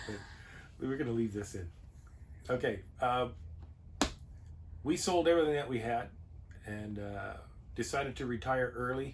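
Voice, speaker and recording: A man with a medium-pitched voice talks at a moderate pace with ordinary pitch variation amid audible room echo. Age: 60s. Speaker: RV travel vlogger, retired sheet metal worker. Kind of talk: casual chat.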